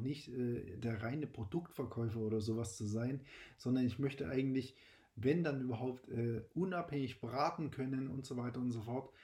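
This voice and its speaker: Somewhat breathy, a man speaks at a medium pitch and a moderate pace with ordinary pitch variation. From Saxony, eastern Germany. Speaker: podcast host, insurance broker. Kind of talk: personal monologue. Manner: hesitant with fillers.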